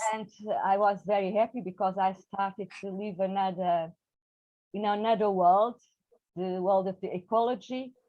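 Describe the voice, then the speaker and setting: Speaking at a moderate pace with long, frequent pauses, a woman at medium pitch uses monotone, flat intonation in a Portuguese accent. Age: 60s. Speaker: poet. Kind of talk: interview. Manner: halting.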